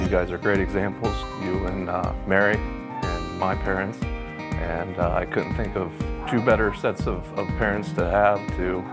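Clear background music can be heard. Over it, a man speaks at a moderate pace. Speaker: man proposing marriage. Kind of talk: casual talk, marriage proposal. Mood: sincere, a bit nervous. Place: home room.

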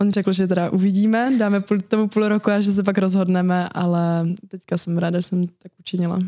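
At a very fast pace, a woman speaks in a dark, mellow tone. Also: quiet background. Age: 20s. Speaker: competitive swimmer; guest. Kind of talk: interview. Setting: studio. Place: studio. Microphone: studio mic.

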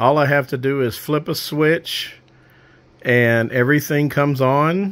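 The speaker is a man with fairly even intonation. He goes at a fairly slow pace. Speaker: amateur radio hobbyist. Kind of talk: casual project overview. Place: home room. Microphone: phone near.

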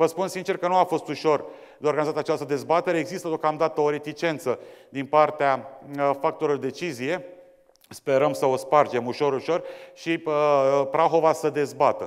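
With fairly even intonation and a moderate pace, a man speaks over a quiet background. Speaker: debate moderator. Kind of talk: formal introduction to an audience. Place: hall. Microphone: lapel.

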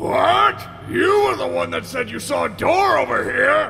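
At a fairly slow pace, a man speaks over clear background noise. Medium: fan dub. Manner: irritable, sarcastic, snappish.

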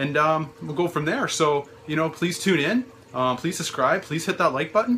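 A man talks at a moderate pace with lively intonation. There is light background noise. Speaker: hobby vlogger. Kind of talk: casual vlog chat. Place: home room.

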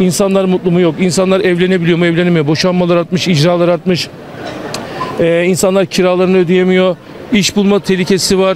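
At a fairly quick pace, a man with a high pitch speaks in a monotone, flat way at very even loudness, the sound dry with no echo and light background noise underneath. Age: 40s. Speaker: passerby interviewed in street; interviewee. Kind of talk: street interview. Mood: critical, indignant political opinion. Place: street.

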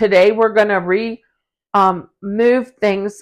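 Against a quiet background, a woman talks in an animated tone at a medium pitch. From rural farm country. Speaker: co-host of home organizing channel. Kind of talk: casual chat. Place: home room. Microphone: lapel.

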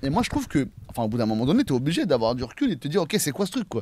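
The pace is very fast, and the pitch swings widely up and down. The tone is slightly mellow. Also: man, fairly high pitch for a man.

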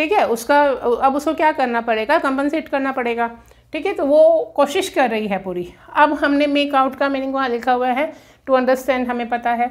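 A woman at a high pitch and moderate pace, with ordinary pitch variation, over a quiet background. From India. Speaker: English teacher. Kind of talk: lecture. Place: classroom. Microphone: camera far.

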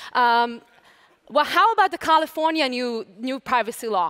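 In an Israeli accent, a woman projects a raised voice against a quiet background. She keeps a moderate pace with lively intonation. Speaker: lawyer and lecturer. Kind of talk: conference talk. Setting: stage with audience. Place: stage. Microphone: headset.

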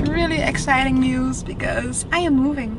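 Noticeable background noise and audible room echo surround a woman speaking with a Dutch accent. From Netherlands. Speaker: lifestyle vlogger. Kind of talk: casual vlog. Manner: animated.

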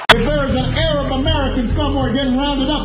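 A man speaks over loud music in the background. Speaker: politician. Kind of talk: political speech. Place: church.

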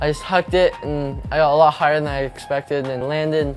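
Faint music plays behind a man who talks very fast. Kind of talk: interview answer. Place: shop.

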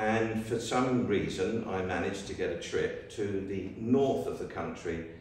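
Strong room echo surrounds a man's voice. He speaks fairly slowly with fairly even intonation. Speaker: guest, photojournalist. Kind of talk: public talk, storytelling. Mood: relaxed anecdotal. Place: church. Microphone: camera far.

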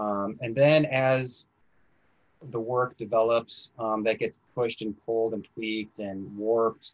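A man speaks at a fairly slow pace in a medium pitch with an American accent, the sound dry and close with no echo. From US Midwest, northern Illinois. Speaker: novelist. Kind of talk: author interview. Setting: video call. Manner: halting.

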